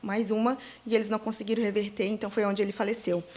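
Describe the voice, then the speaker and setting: In monotone, flat intonation, a woman speaks at a fairly high pitch. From Santa Catarina, Brazil (Itajaí/Navegantes). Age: 30s. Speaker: digital influencer, bereaved mother. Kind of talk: interview testimony. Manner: halting, many fillers.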